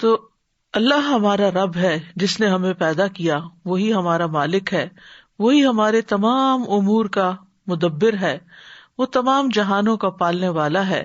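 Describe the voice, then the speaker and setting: A woman's medium-pitched voice, an ordinary speaking voice, with ordinary pitch variation and very even loudness. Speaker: Islamic scholar. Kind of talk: Islamic religious lecture.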